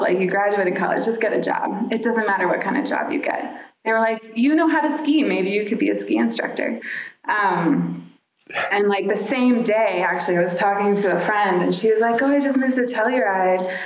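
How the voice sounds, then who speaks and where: With an American accent, a woman uses a normal speaking voice at medium pitch, with very even loudness, ordinary pitch variation and a moderate pace. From Dallas, Texas. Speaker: landscape architect, firm co-founder. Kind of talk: casual interview conversation.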